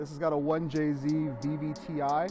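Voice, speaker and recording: Music plays in the background while a man with an American accent speaks in a relaxed tone. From Southern California (Pomona). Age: 20s. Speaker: grassroots drift driver. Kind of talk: casual interview. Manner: relaxed, many fillers.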